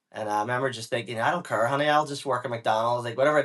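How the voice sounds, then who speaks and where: In a Northern Irish accent, a man talks at a medium pitch with ordinary pitch variation. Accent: Northern Irish (Belfast). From Northern Ireland, Belfast. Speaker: business owner. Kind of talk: interview. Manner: casual.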